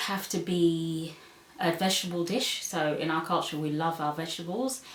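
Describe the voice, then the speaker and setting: A woman with a London accent is heard over noticeable background noise, with audible room echo. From London, England (born in Zambia, moved at four). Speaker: vlogger. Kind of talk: casual vlog Q&A. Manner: hesitant, many ums; reading questions aloud.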